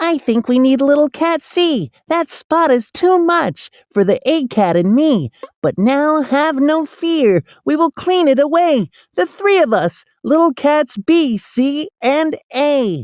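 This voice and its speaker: A put-on character voice, high in pitch, speaks at a fairly slow pace. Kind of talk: rhyming read-aloud. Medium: read story. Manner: eager, busy.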